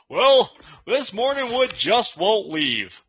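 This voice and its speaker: A put-on character voice, fairly high in pitch, delivered at a fairly slow pace. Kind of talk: formal, broadcast news. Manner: deadpan, serious.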